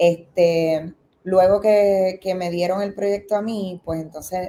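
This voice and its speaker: Very slowly, a woman with a Puerto Rican accent speaks at a medium pitch in a dark, mellow tone with monotone, flat intonation. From Puerto Rico. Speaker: film director. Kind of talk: interview. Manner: halting, many fillers.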